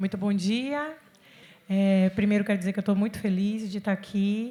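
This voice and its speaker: Woman with a somewhat breathy, dark, mellow tone, medium pitch and a fairly slow pace. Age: 40s. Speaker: city official and cultural producer. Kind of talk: panel discussion. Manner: animated.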